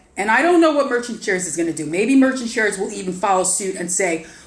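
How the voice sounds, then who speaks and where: A woman speaks at a very fast pace. Room echo is audible. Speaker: online investment promoter. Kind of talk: casual vlog sales pitch. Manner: animated, halting with repetitions.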